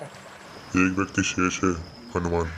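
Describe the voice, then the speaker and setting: A man uses a put-on character voice with a very deep, low pitch. Clear background noise is heard behind him. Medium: short film. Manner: fatherly, grave.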